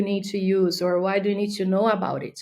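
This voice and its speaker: Her tone dark and mellow, a woman speaks at medium pitch. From Brazil. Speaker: B2B marketing specialist. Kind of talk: podcast interview. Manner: hesitant, many fillers.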